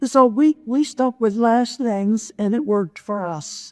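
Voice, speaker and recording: Very slowly, a woman speaks in a fairly high voice with ordinary pitch variation and a dry, close sound with no echo. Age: 80s+. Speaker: retired surgical nurse; motivational speaker. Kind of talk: speech to an audience. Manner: humorous, engaging.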